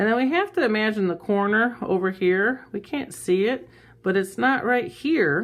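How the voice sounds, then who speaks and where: With lively intonation, a woman speaks at a moderate pace in an unremarkable speaking voice. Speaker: art teacher. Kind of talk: tutorial. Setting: recording on an iPad.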